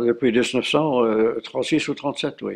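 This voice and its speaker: A man with fairly even intonation. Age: 90s. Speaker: war veteran. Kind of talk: interview. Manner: halting, frequent hesitations.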